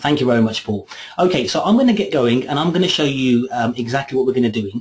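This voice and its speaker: Against noticeable background noise, a man speaks at a very fast pace with a medium pitch. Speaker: software trainer. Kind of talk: webinar tutorial. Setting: online webinar.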